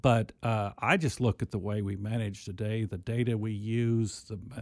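Medium pitch from a man, monotone and flat, on a very clean recording with a silent background. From southern Missouri (Mountain Grove, Ozarks). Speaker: university agriculture administrator. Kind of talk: podcast interview. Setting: studio.

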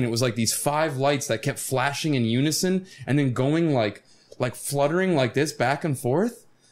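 Using an ordinary speaking voice with an American accent, a man speaks at a moderate pace, his fairly high pitch varying in an ordinary way. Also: very even loudness. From Florida. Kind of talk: casual chat.

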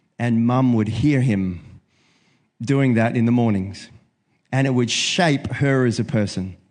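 Speaking with a New Zealand accent, this voice moves at a fairly slow pace, broken by long, frequent pauses. Pitch varies an ordinary amount, loudness holds very even, and the background is quiet. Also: man, medium pitch for a man. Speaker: preacher. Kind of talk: sermon. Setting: church.

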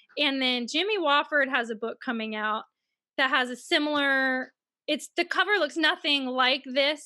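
On a very clean recording with a silent background, a woman with an American accent projects a raised voice that is high-pitched, bright and sharp, at a moderate pace. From US South, Mississippi. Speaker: author. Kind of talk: casual interview.

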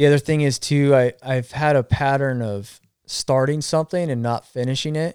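An unremarkable speaking voice from a man, fairly high in pitch, with fairly even intonation at a moderate pace in a dry, close sound with no echo. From Arizona. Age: 40s. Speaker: cancer survivor and former line worker. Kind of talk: casual chat.

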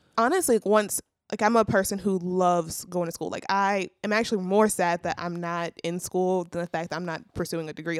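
With a plain, everyday voice, a woman talks at a fairly quick pace and fairly low pitch on a very clean recording with a silent background. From Louisiana, US South. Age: 20s. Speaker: recent college graduate, church intern. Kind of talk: casual chat. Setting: studio.

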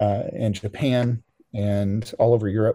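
Here a man speaks at a medium pitch with a dark, mellow tone. His intonation is monotone and flat. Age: 50s. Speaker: professional musician. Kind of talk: casual chat. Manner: halting.

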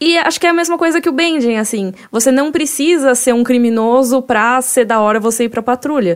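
This woman talks at a fairly quick pace with hardly any pauses. Her high voice carries lively intonation. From Brazil, Cuiabá. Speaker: podcast host. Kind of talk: casual chat.

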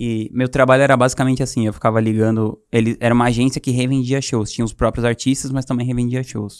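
A man rattles along at a very fast pace in a medium pitch with monotone, flat intonation, on a very clean recording with a silent background. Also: hardly any pauses. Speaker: entrepreneur. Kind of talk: casual storytelling interview.

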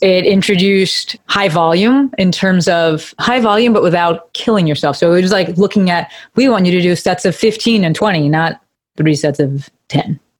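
A woman speaks with an unremarkable speaking voice at a moderate pace, her loudness very even. Her pitch is medium, with ordinary variation. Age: 30s. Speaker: physical therapist. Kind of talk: casual chat.

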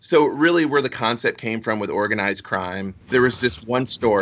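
Speaking with an American accent, a man uses an unremarkable speaking voice at a medium pitch, with lively intonation and a moderate pace. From Florida, Fort Myers. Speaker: comic book writer. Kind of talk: casual interview.

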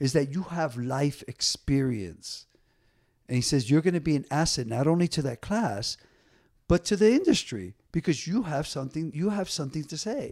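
On a very clean recording with a silent background, a man with a plain, everyday voice and an American accent talks at a moderate pace with lively intonation and a fairly high pitch. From New Jersey (Paterson). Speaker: DJ and dancer. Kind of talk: casual interview chat.

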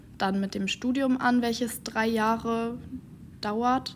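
She has an ordinary speaking voice. This woman talks at a fairly slow pace with fairly even intonation. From Schleswig-Holstein, Dithmarschen. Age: 20s. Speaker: trainee civil servant and student. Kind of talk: interview.

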